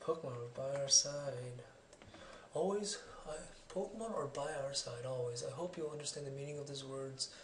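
Speech comes at a moderate pace. Light background noise and audible room echo are present. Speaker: gamer. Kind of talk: video game let's play commentary. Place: home room.

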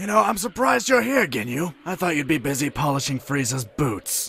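A man's cartoonish character voice, fairly high in pitch and fairly quick in pace. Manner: sarcastic, condescending, menacing.

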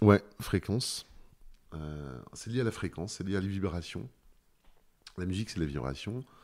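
A man's voice with lively intonation, a fairly slow pace, and long, frequent pauses. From Brittany, France (Douarnenez). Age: 50s. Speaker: painter. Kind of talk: interview. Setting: at the host's home. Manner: halting, many hesitations and repeated words.

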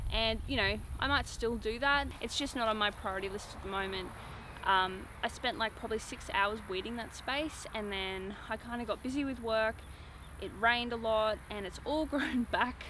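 At a moderate pace and with ordinary pitch variation, a woman speaks in a dry sound with no echo over noticeable background noise. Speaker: off-grid lifestyle vlogger. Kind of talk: casual vlog chat. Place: garden.

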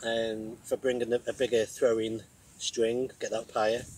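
At a moderate pace, a man speaks at medium pitch with little pitch movement, a slightly mellow tone and a slightly husky edge.

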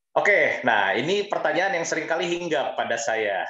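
Over a quiet background with audible room echo, a man speaks at a fairly quick pace, his pitch swinging very widely. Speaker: HR and communication advisor; webinar speaker. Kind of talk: webinar talk. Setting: video call. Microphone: headset.

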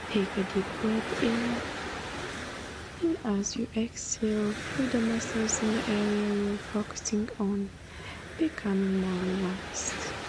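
The speech moves at a very slow pace with fairly even intonation. Loudness stays very even over noticeable background noise. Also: woman, medium pitch for a woman. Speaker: guided meditation leader. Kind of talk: guided meditation, calm soothing narration of a beach sunrise scene. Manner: soothing, calm and unhurried.

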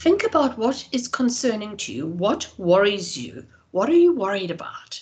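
A woman speaks at a moderate pace while her pitch swings very widely. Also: quiet background. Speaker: professor and researcher. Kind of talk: lecture. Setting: video call. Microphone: video call.

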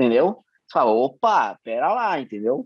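A man talks at a moderate pace, the sound dry with no echo and the background quiet. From Brazil. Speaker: state politician. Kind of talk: casual interview. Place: home room. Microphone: video call.

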